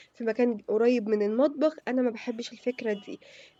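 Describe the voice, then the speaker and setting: In an Egyptian accent, a woman talks at a high pitch and a fairly quick pace. Her tone is dark and mellow. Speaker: homemaking vlogger. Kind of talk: casual vlog chat. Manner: hesitant, many fillers.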